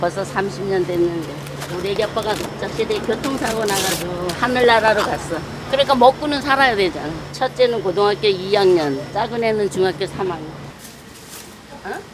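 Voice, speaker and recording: The intonation is lively, with background noise noticeable behind it. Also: woman, medium pitch for a woman, moderate pace. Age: 70s. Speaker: street food shop owner. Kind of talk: interview answer.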